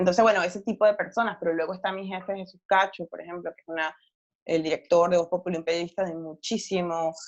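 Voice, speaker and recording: With a strong Venezuelan accent, a woman talks at a very fast pace and fairly low pitch, her intonation monotone and flat but her loudness swinging widely. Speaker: novelist and journalist. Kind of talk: interview. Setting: podcast recording.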